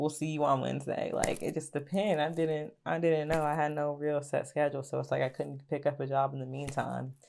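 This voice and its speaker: In an Appalachian accent, a woman speaks at a very deep, low pitch and a fairly quick pace with monotone, flat intonation, on a very clean recording with a silent background. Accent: country, Appalachian twang. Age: 20s. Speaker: YouTuber. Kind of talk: storytime vlog. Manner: casual, filler-heavy.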